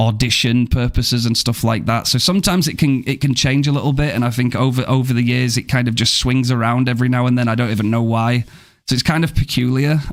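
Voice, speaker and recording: At a very fast pace, a man talks at medium pitch with very even loudness and hardly any pauses. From Yorkshire, northern England. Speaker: gaming streamer. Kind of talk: live game commentary and chat with viewers. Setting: live stream. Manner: animated.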